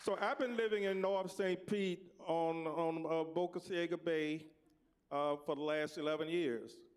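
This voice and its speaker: With an American accent, a man speaks fairly slowly in a high pitch, using ordinary pitch variation and very even loudness. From US South, Tampa, Florida. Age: 70s. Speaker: panelist. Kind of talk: personal storytelling on a panel.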